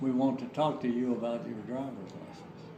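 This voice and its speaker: A medium-pitched man with an American accent, with noticeable background noise and audible room echo. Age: 80s+. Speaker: war veteran. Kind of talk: casual chat; storytelling. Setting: family home. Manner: halting.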